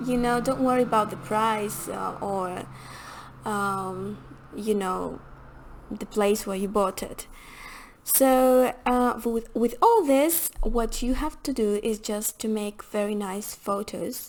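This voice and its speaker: At a very slow pace, a woman with a non-native accent speaks in a fairly high pitch with ordinary pitch variation. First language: not English. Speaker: hospitality and rental consultant. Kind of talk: tutorial. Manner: halting, many fillers.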